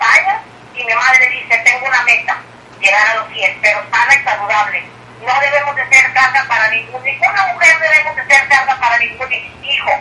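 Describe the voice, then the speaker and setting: Against noticeable background noise, a woman speaks in a raised, projected voice. Her pitch is high, her pace moderate, and her pitch variation ordinary. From Mexico, Tamaulipas. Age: 60s. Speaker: retired teacher turned businesswoman. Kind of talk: phone interview.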